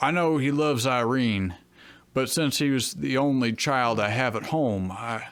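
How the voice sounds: A natural reading voice is what this clip carries.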